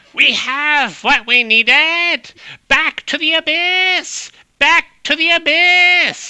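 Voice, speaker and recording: Loud and shouting in a high-pitched put-on character voice, the speaker goes at a very slow pace. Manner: loud, shouting.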